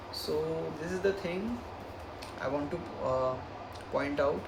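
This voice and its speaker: The recording carries noticeable background noise and audible room echo. A man is speaking. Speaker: self-help book reviewer. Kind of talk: casual talk to camera. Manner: halting, with fillers.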